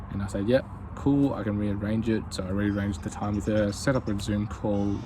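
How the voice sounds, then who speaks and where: The voice is heard with audible room echo, moving at a fairly quick pace with ordinary pitch variation. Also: man. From Australia. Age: 20s. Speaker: YouTuber, aspiring business owner. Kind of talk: casual vlog monologue. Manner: casual, hesitant with many fillers.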